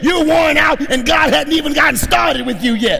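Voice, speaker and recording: Shouting over crowd noise in the background, a man sounds animated, with ordinary pitch variation and audible room echo. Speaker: pastor. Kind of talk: sermon.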